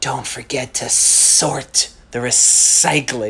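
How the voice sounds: A put-on character voice hisses its words at a very slow pace.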